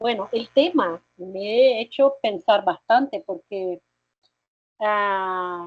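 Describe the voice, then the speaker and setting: Very slow, lively speech from a woman at a medium pitch. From Brazil. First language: Portuguese (speaking Spanish). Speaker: nursing professor and researcher. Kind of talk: academic lecture.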